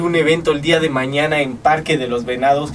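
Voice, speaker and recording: Over noticeable background noise, a man talks at a moderate pace with fairly high pitch for a man and ordinary pitch variation. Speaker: radio announcer, show host. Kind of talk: casual talk show host.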